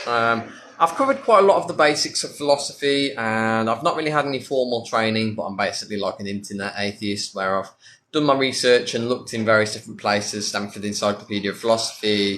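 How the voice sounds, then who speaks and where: Talking very fast, a man with a British accent has a bright, sharp tone, a medium pitch and ordinary pitch variation. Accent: British, self-described as ridiculous. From UK. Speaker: atheist content creator. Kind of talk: livestream Q&A. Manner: casual, lots of fillers.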